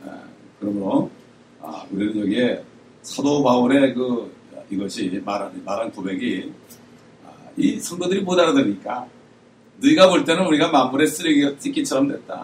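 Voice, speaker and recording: A man speaking at a moderate pace. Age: 60s. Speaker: pastor. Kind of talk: sermon.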